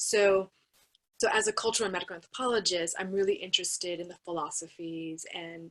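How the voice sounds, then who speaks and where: In an unremarkable speaking voice, a woman with an American accent talks at a fairly quick pace. Her pitch is medium and her intonation fairly even. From United States. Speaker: anthropologist, university researcher. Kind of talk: panel discussion.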